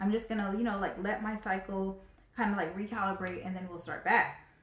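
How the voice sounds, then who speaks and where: A woman talks at a fairly quick pace and a medium pitch. Audible room echo surrounds her voice. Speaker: video blogger. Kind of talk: personal story vlog. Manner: fast; casual, filler-heavy.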